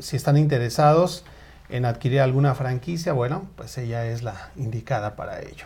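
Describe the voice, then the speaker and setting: A somewhat breathy man at a fairly slow pace. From Mexico, State of Mexico. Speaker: online show host. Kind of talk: live talk show. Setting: Facebook live stream.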